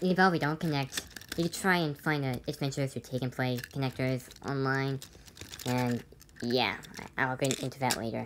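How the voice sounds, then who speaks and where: Against noticeable background noise, a woman with a very deep, low voice speaks at a moderate pace with fairly even intonation. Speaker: toy train collector. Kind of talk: toy review talk to camera. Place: home room. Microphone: phone near.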